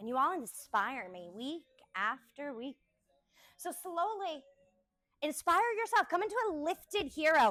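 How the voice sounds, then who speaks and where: A woman's high, raised and projected voice, bright and sharp in tone, with very wide pitch swings, big swings in loudness, a fairly slow pace and long, frequent pauses. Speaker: yoga instructor. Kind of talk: live yoga class instruction.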